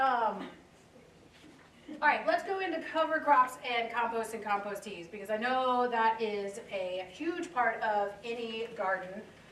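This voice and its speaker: Amid noticeable background noise and audible room echo, a woman with a high pitch speaks at a fairly slow pace with lively intonation. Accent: American. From US South (South Louisiana). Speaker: horticulture instructor. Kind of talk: lecture.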